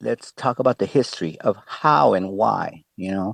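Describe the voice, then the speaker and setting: A man speaks with a Spanish accent at a fairly slow pace. His pitch varies in an ordinary way, and the sound is dry and close with no echo. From Tijuana, Mexico. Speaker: exhibit creator, breakdancer and hip-hop artist. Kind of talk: interview answers.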